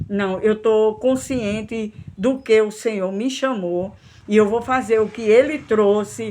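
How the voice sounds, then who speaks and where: A woman's fairly high-pitched voice at a fairly slow pace, with ordinary pitch variation; a normal speaking voice. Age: 60s. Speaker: missionary preacher. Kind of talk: sermon.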